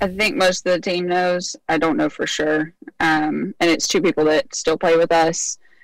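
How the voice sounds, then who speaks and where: With an unremarkable speaking voice, a woman talks at a moderate pace and fairly low pitch, with ordinary pitch variation and very even loudness. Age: 20s. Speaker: caller. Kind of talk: advice call.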